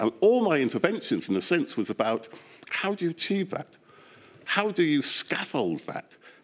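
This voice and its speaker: This man's voice shows vocal fry and very wide pitch swings at a moderate pace. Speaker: behavioural scientist, inquiry witness. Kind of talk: testimony.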